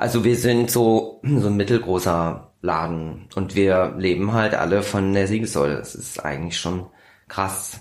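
A man speaks at a fairly slow pace in a fairly low pitch. He has an unremarkable speaking voice with ordinary pitch variation. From Kassel, Germany. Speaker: magazine editor-in-chief and musician. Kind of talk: casual interview. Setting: small back room in magazine office.

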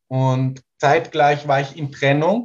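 A man talks with fairly even intonation in a somewhat breathy voice. His pitch is fairly high. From Portugal, rural. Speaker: sound healer and songwriter. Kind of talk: casual interview.

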